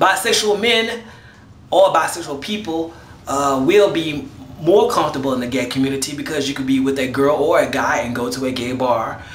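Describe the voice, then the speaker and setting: Lively intonation carries through the speech. Noticeable background noise and audible room echo are present. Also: man, fairly high pitch for a man. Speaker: vlogger. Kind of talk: casual video response monologue. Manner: fast.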